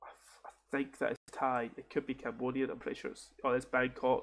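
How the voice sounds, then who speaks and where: Here a man speaks with a Scottish accent. His pitch runs fairly high. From Scotland. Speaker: game streamer. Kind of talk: casual gaming commentary. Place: home room. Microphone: headset.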